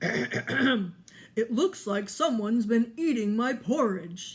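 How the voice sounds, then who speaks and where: Raspy and fairly high-pitched, this put-on character voice moves at a very slow pace. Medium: read story. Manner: slow, ponderous, thoughtful.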